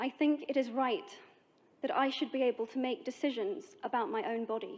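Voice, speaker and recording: With a British accent, a woman speaks at a fairly quick pace. Her pitch is high and her intonation lively. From Britain. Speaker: actress. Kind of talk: public speech.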